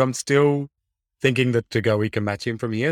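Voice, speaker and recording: A man in an Australian accent talks at a fairly quick pace with ordinary pitch variation, recorded dry and close with no echo, very clean against a silent background. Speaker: fantasy football podcast co-host. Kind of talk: casual chat.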